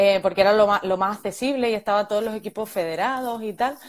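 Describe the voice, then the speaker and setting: A woman speaks with ordinary pitch variation. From Málaga, southern Spain; southern Spain. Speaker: women's football fitness coach. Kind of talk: interview. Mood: friendly, relaxed. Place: home room.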